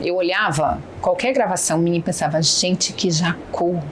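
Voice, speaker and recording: A woman's fairly low pitch and fairly even intonation at a fairly slow pace, with noticeable background noise. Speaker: businesswoman and negotiation mentor. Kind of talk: podcast interview.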